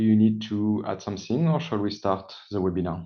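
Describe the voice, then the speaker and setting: With a French accent, a man speaks at a fairly low pitch with ordinary pitch variation. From France. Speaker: sales engineer. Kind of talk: webinar presentation.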